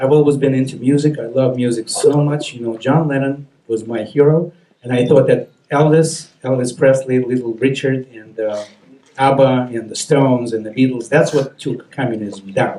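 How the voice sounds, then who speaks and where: A man's medium-pitched voice with a dark, mellow tone, fairly even intonation, big swings in loudness and a moderate pace. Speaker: documentary creator. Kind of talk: speech to an audience.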